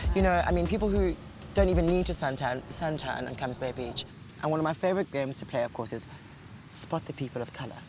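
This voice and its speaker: A man with a South African accent speaks at a very fast pace and medium pitch, with very wide pitch swings and long, frequent pauses. Noticeable background noise is present. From South Africa, Cape Town. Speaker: actor and cabaret singer. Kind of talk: casual chat. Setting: outdoors. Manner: animated.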